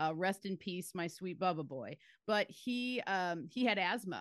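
A woman with an ordinary speaking voice talks at a medium pitch with ordinary pitch variation, recorded with a dry, close sound with no echo against a quiet background. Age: 40s. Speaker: herbalist. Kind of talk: casual chat.

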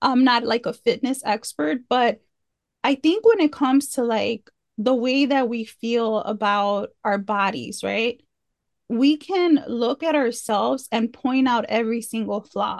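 With an ordinary speaking voice, a woman speaks at a fairly slow pace and a fairly high pitch, with ordinary pitch variation. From US Midwest (Chicago), Mexican-American. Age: 30s. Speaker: author and empowerment coach. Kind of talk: casual interview chat.

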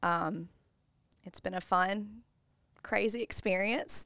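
On a very clean recording with a silent background, the speaker uses an American accent at a very slow pace with ordinary pitch variation. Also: woman. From US South, Bossier, Louisiana. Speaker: preschool teacher and mother. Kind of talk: casual interview.

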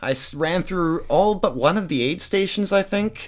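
A high-pitched man with a Canadian accent on a very clean recording with a silent background. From Western Canada (Surrey, British Columbia). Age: 30s. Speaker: ultra runner and structural engineer. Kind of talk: interview.

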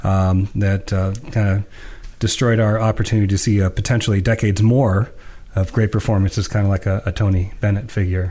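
A man speaks at a moderate pace in a fairly low pitch, his tone dark and mellow, somewhat breathy, with monotone, flat intonation. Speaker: podcast co-host. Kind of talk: casual discussion of music.

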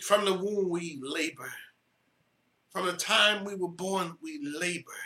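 A man's raised, projected voice, high-pitched with a bright, sharp tone, fairly slow, with ordinary pitch variation, big swings in loudness and long, frequent pauses. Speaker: pastor. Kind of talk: sermon.

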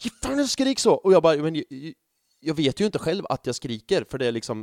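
Talking at a very fast pace, a man with a fairly high pitch sounds animated, his pitch swinging very widely in a dry, close recording with no echo. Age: 30s. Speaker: football fan podcaster. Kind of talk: casual chat.

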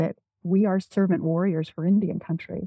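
With an American accent, a woman speaks at a medium pitch in a somewhat breathy voice, keeping her intonation fairly even. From US Pacific Northwest, Spokane reservation, eastern Washington. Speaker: Native business owner and consultant. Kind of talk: interview.

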